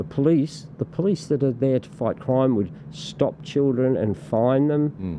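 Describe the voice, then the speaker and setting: In an Australian accent, a man talks at a fairly slow pace with lively intonation. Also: medium pitch for a man. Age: 60s. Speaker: political party representative. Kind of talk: podcast interview. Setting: studio. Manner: halting, many repetitions and fillers.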